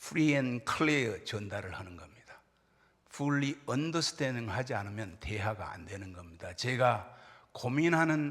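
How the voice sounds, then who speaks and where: Very wide pitch swings against audible room echo. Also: man. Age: 60s. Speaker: pastor. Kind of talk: sermon.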